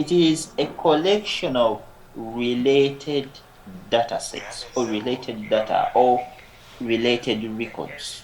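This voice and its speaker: A man speaks at a very slow pace and medium pitch with ordinary pitch variation. Noticeable background noise and audible room echo surround him. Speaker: lecturer. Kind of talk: lecture.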